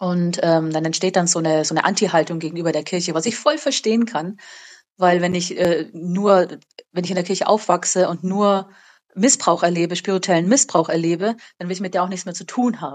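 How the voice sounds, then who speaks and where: Talking fairly quickly in an unremarkable speaking voice, this woman keeps a fairly low pitch with ordinary variation. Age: 30s. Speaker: school teacher. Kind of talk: casual interview. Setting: remote call.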